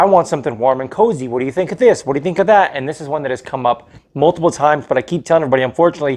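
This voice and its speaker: A man with a fairly high pitch, a very fast pace and ordinary pitch variation. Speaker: fragrance reviewer. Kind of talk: product review. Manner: casual, informal.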